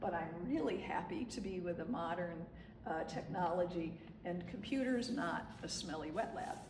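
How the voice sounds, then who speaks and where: Against noticeable background noise and audible room echo, a woman with a fairly low pitch speaks at a moderate pace with lively intonation. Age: 60s. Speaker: photographer. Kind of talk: artist talk to gallery audience. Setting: gallery with live audience. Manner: conversational with frequent fillers and repeats.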